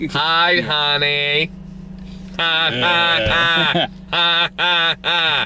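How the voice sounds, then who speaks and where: Against clear background noise, a man uses a high-pitched put-on character voice at a very slow pace. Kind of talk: casual banter, laughter. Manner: eerily cheery, sinister. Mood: laughing, amused.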